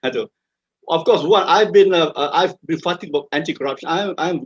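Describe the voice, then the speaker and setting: In a Malaysian accent, a man talks at a fairly quick pace in a high pitch with ordinary pitch variation, the sound dry and close with no echo. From Malaysia, Kuala Lumpur. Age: 70s. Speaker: retired army officer. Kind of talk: interview. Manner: halting, many repetitions.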